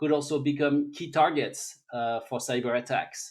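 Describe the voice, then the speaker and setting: A man's fairly high-pitched, monotone voice, flat in intonation and fairly slow in pace. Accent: French. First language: French. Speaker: technology expert. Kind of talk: interview. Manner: halting.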